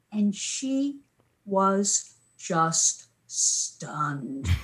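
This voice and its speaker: A woman speaks with a somewhat breathy voice and very wide swings in pitch. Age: 70s. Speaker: media historian and former radio broadcaster. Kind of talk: casual conversational interview. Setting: video call. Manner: chatty, digressive.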